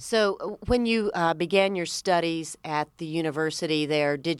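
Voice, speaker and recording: A woman speaks at a moderate pace with a Southern US accent and ordinary pitch variation on a very clean recording with a silent background. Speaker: radio host. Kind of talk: radio interview.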